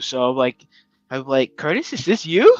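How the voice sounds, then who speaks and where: Against music in the background, a man with a slight New York accent speaks at a moderate pace in a dry, close sound with no echo. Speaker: podcast co-host. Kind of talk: casual chat. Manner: animated.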